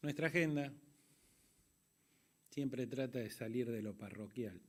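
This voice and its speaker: A plain, everyday voice: a man of medium pitch, fairly slow, with ordinary pitch variation. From Argentina. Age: 60s. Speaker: conference moderator. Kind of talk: closing speech.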